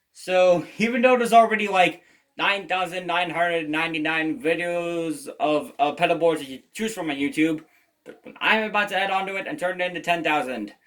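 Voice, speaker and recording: This man speaks fairly quickly, high-pitched, with ordinary pitch variation. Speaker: guitarist, video creator. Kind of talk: gear rundown tutorial. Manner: halting, repeated words.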